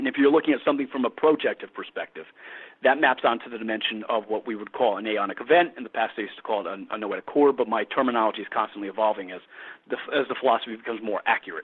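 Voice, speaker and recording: A man talks at a very fast pace. His loudness swings in big jumps. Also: medium pitch for a man, ordinary pitch variation. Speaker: philosopher. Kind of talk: interview. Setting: live internet radio show.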